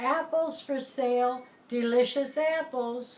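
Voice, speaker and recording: A woman uses a put-on character voice, high in pitch. She goes at a fairly slow pace with fairly even intonation. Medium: read story. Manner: wheedling.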